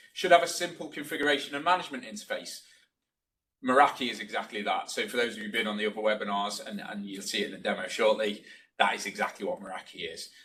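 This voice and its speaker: A man talks very fast in a bright, sharp voice. His pitch swings very widely and his loudness changes a lot. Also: medium pitch for a man. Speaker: network solutions presenter. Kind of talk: webinar presentation. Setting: webinar.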